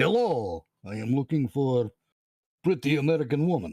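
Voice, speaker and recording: Using a put-on character voice, a man speaks in a medium pitch at a moderate pace. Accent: Russian. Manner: exaggerated, comic.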